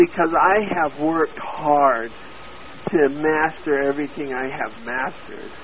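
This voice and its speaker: With an American accent, a man talks at a fairly slow pace and fairly high pitch, using ordinary pitch variation. Noticeable background noise runs underneath. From Oklahoma, US. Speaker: copywriter. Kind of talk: interview.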